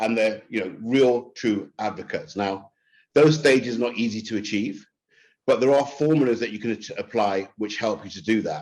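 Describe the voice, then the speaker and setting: A man with a London accent, medium pitch and ordinary pitch variation, against a quiet background. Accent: British, London-style. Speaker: marketing executive. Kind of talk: webinar presentation. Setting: online webinar. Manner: fast; stammers on some words.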